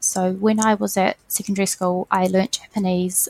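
A woman with a New Zealand accent speaks at medium pitch, somewhat breathy and with fairly even intonation, in a dry, close sound with no echo. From New Zealand (Waiuku). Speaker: education program coordinator. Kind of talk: interview.

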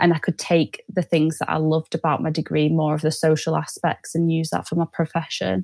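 The speaker has a Mancunian accent. The recording is very clean with a silent background and a dry, close sound with no echo. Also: woman. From Manchester, northern England. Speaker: sales development rep. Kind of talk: podcast interview.

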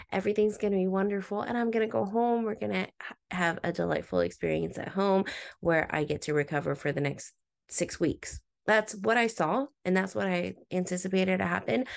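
Against a quiet background, a woman with a normal speaking voice and medium pitch talks fairly quickly with lively intonation. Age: 30s. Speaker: podcast host. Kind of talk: inspirational monologue.

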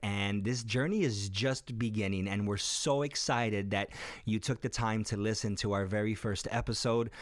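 On a very clean recording with a silent background, a man with an American accent speaks at a fairly low pitch with fairly even intonation. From US Midwest, west side of Chicago. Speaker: podcast host and life coach. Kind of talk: casual chat. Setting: studio.

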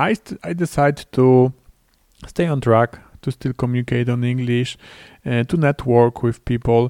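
A man with a Polish accent speaks at a medium pitch and fairly slow pace, his intonation fairly even. The recording is very clean with a silent background, giving a dry, close sound with no echo. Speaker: podcast host, LinkedIn and B2B marketing consultant. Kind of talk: solo podcast monologue. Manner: halting.

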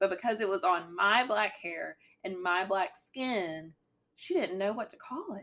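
With a strong Southern US accent, a woman talks at a fairly slow pace and medium pitch. Her pitch varies in an ordinary way, while her loudness swings widely. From Alabama. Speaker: guest, podcast host's girlfriend, essay writer. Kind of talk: casual podcast conversation.

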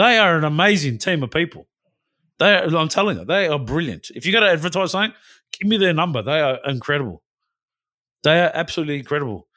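A man with an Australian accent, very fast pace and long, frequent pauses. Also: fairly high pitch for a man. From Western Australia. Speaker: podcast co-host. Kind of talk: casual political chat.

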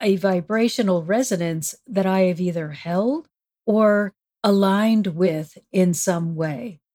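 A woman uses an ordinary speaking voice at a medium pitch and a fairly slow pace. Her intonation is lively, and the sound is dry and close with no echo. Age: 60s. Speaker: spiritual counselor and author. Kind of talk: interview conversation.

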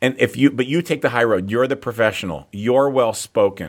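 A man with a plain, everyday voice speaks at a medium pitch with lively intonation, recorded very cleanly against a silent background. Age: 40s. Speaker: fitness entrepreneur and author. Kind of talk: interview.

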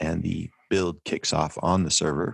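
A man speaks with a very deep, low pitch and ordinary pitch variation. The sound is dry and close with no echo, on a very clean recording with a silent background. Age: 40s. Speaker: technical writer. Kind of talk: interview.

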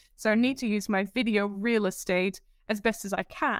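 The recording is very clean, with a silent background. Its sound is dry and close, with no echo. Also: woman. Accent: Dutch. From Netherlands. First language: Dutch. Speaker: presentation coach. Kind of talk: interview. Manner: giggly; sometimes fast.

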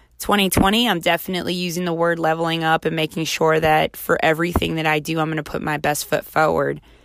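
A woman's fairly low voice with an American accent, fairly quick in pace and flat, monotone in intonation. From US Mid-Atlantic (Baltimore). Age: 30s. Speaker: podcast host. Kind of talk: casual solo monologue.

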